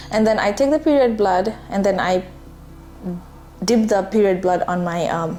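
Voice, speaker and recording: A woman at medium pitch and moderate pace, ordinary pitch variation, over noticeable background noise. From Nepal. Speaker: spiritual self-care vlogger. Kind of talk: casual talk to camera.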